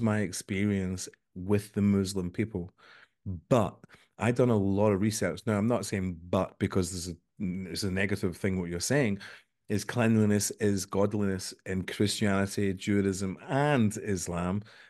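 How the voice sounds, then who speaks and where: A man talks at a moderate pace in an unremarkable speaking voice, fairly low in pitch. His intonation is fairly even, and the background is quiet. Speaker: podcast host. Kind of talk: casual interview. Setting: video call.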